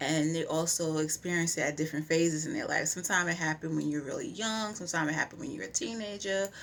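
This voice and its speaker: A woman with a fairly low pitch talks at a very fast pace, hardly pausing, her pitch varying in an ordinary way. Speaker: vlogger. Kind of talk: personal testimony vlog.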